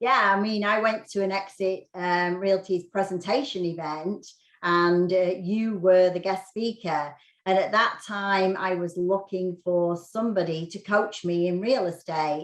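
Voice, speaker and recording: A woman with a British accent, medium pitch, fairly even intonation and a fairly slow pace. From UK. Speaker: real estate agent. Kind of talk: interview podcast.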